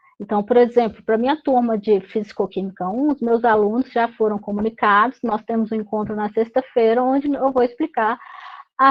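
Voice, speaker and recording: A woman with a normal speaking voice talks at a fairly quick pace, with a fairly high pitch and ordinary pitch variation. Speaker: university lecturer. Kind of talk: online meeting briefing. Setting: video call.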